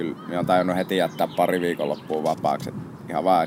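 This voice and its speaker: At a moderate pace, the speaker talks through noticeable background noise. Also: man. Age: 20s. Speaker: photographer. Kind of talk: interview. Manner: casual.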